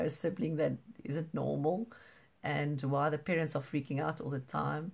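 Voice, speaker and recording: Vocal fry runs through this woman's speech. She talks at a moderate pace. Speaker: parent support group host. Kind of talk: live online support group talk. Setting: livestream video. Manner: halting; soft-spoken.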